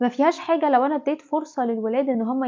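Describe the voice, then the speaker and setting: A woman talks in an Egyptian accent at a high pitch. Her intonation stays fairly even. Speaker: parenting advice vlogger, mother. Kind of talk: talk-to-camera parenting tips. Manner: conversational, informal.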